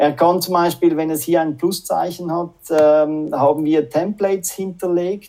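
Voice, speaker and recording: Music plays in the background. The speech comes at a fairly slow pace with fairly even intonation. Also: man. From Switzerland, Zürich. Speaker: sales manager. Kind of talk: casual interview. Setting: video call.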